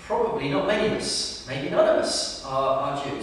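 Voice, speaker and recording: Strong room echo surrounds the voice, along with light background noise. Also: man. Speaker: preacher. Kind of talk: sermon. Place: church.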